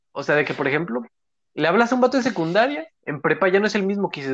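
A man with a Mexican accent talks at a very fast pace, his intonation lively. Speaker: podcast co-host. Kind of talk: casual chat.

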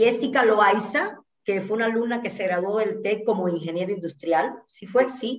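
A woman with an ordinary speaking voice talks at a fairly high pitch. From Cuba, Santa Clara. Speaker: dancer and choreographer. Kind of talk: casual interview.

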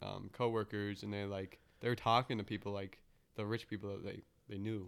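The speech runs at a fairly quick pace on a very clean recording with a silent background. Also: man. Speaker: podcast host. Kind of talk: casual chat. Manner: profane, jokey.

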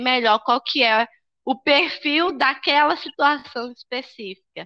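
A woman speaks at a high pitch with ordinary pitch variation, her tone bright and sharp, and the sound is dry and close with no echo. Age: 20s. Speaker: school administrator and psychology student. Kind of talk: casual interview.

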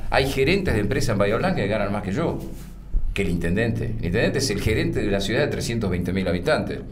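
Amid noticeable background noise and audible room echo, a man talks at a very fast pace with a fairly low pitch and ordinary pitch variation. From Argentina, Buenos Aires province (Pigüé). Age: 60s. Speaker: mayor, former radio and TV journalist. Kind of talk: interview.

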